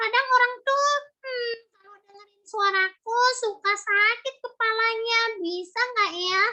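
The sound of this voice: A woman puts on a shrill character voice, pitched extremely high. She delivers it at a fairly slow pace.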